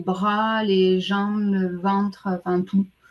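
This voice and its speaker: A woman's very slow, monotone voice with flat intonation. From France. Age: 40s. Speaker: client testimonial guest. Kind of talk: testimony. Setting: live stream.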